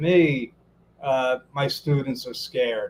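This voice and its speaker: A man with a Brooklyn accent, talking at a fairly slow pace. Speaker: business coach and interview host. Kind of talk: live interview. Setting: Facebook Live video stream. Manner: halting, frequent repetitions.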